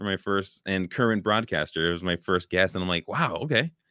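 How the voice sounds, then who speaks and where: Speaking at a moderate pace, a man with a Californian accent has a fairly low pitch. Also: hardly any pauses. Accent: Californian American. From California, Oakland. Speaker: podcaster, hospital educator. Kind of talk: casual chat. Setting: home studio, remote video call.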